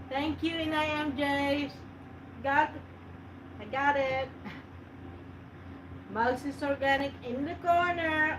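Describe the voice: A woman speaks slowly at a high pitch, with fairly even intonation and a fairly bright tone. Long, frequent pauses break her speech over faint background noise.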